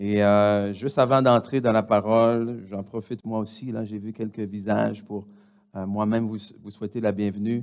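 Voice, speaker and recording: A man at a moderate pace with a fairly low pitch and a Quebec accent, flat monotone intonation, and big swings in loudness. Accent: Québécois. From DR Congo. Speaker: pastor. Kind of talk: church announcements. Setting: church. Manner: halting, many hesitations.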